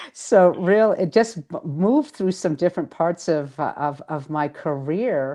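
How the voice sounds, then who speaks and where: With a Boston accent, a woman speaks at a fairly slow pace with hardly any pauses, her fairly low voice dark and mellow in tone and lively in intonation, over a quiet background. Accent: Boston accent, still noticeable. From Boston area, Massachusetts. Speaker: author and spiritual healer. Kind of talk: interview.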